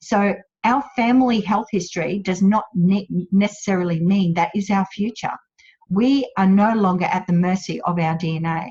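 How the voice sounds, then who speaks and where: Speaking somewhat breathily with an Australian accent, a woman holds a medium pitch and moderate pace with ordinary pitch variation. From Australia, central Queensland. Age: 50s. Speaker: wellness business owner. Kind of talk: webinar presentation. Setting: online webinar.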